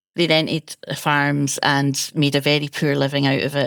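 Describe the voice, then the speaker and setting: Dry and close with no echo, a woman with a Scottish accent speaks at a very deep, low pitch. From Scotland, Ayrshire. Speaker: food historian. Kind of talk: interview.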